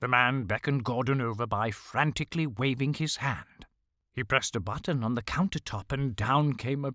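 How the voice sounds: The clip is in a natural reading voice. The background is quiet.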